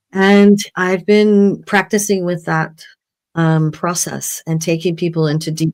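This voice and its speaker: In a plain, everyday voice, a woman speaks at a moderate pace with ordinary pitch variation. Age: 60s. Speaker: healer and spiritual teacher. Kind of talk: personal testimony in panel conversation.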